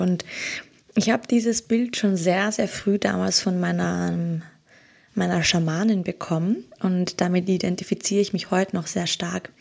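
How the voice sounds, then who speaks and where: A woman talks at a fairly slow pace in a plain, everyday voice. The recording is very clean, with a silent background. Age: 30s. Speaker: holistic coach. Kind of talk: casual interview.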